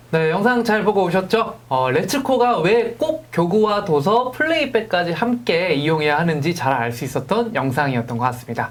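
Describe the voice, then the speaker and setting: A man with a high voice speaks at a moderate pace with very wide pitch swings and hardly any pauses, over noticeable background noise. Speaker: live stream host. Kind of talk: corporate live broadcast interview. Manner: lively, conversational.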